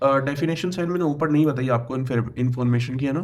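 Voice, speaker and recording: The man has a fairly high pitch with ordinary variation. Room echo can be heard. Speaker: computer science tutor. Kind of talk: lecture. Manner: halting, with many fillers.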